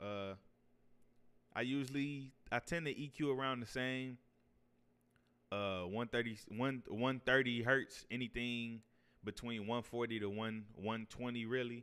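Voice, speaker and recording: With a bright, sharp tone and fairly even intonation, a man talks at a fairly slow pace. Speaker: audio engineer. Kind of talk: tutorial. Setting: untreated home room recording. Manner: casual, hesitant with fillers.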